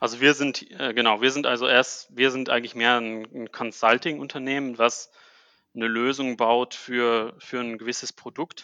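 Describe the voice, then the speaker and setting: Monotone, flat intonation at a moderate pace in a man's medium-pitched voice. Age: 30s. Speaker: managing director of a tech company. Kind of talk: casual interview. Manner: halting, many fillers.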